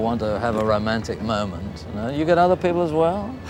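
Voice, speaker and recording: Noticeable background noise sits behind a man speaking very fast. His intonation is lively and his pitch is medium. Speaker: TV documentary presenter. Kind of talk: TV documentary interview questions.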